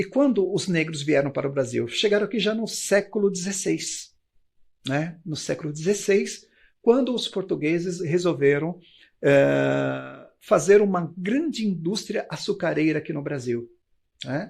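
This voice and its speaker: At a fairly slow pace, a man with a high pitch speaks on a very clean recording with a silent background. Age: 60s. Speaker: history teacher. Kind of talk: lecture. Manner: hesitant fillers (eh, né).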